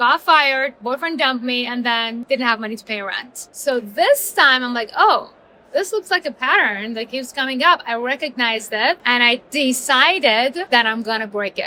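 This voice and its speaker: This woman, with a non-native accent, has a high pitch and a bright, sharp tone. Her intonation is lively, her pace moderate, and she barely pauses. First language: not English. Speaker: entrepreneur, author. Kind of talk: interview. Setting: business conference.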